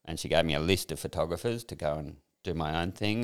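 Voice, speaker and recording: Speaking at a fairly quick pace, a man with an Australian accent has a very deep, low pitch in a very clean recording with a silent background. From Sydney, northern beaches, Australia. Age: 60s. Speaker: former fashion industry worker, workshop graduate. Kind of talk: personal testimony in interview.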